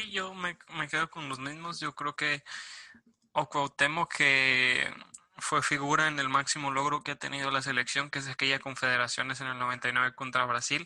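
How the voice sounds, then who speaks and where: Dry and close with no echo, a man speaks in a plain, everyday voice. His pitch is fairly high, his intonation fairly even, and his pace moderate. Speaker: sports podcast host. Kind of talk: casual chat.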